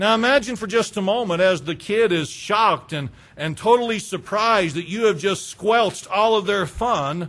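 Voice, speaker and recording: The man's voice shows ordinary pitch variation. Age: 40s. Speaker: pastor. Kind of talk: sermon.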